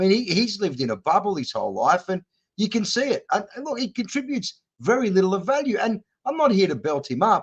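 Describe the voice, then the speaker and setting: Talking at a very fast pace, a man with an Australian accent uses a high pitch and very wide pitch swings. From Western Sydney, Australia. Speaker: political candidate. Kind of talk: interview.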